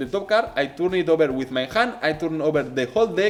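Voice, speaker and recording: With a Spanish accent, a man talks at a fairly quick pace using lively intonation. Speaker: magician. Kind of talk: tutorial. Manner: halting.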